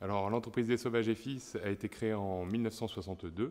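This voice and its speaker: An unremarkable speaking voice, a man at a fairly quick pace with ordinary pitch variation. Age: 30s. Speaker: business owner. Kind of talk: interview testimony.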